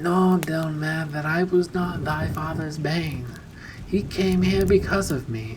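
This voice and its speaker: A man's put-on character voice, husky and fairly high in pitch, at a fairly slow pace over clear background noise. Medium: read story. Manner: archaic, courtly.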